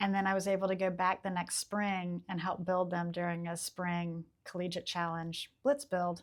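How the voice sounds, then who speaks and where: At a moderate pace with hardly any pauses, a woman with an unremarkable speaking voice and an American accent speaks at medium pitch with fairly even intonation. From US South, Charleston, South Carolina. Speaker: historic preservation architect. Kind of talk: casual interview chat.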